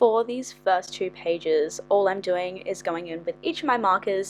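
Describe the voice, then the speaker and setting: A woman speaks at a moderate pace with an Australian accent. Music plays in the background. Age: 20s. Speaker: journaling YouTuber. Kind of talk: tutorial. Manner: animated.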